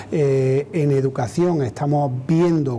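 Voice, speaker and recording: Very slow speech amid noticeable background noise. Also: man. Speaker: trade union president. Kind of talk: TV interview answer.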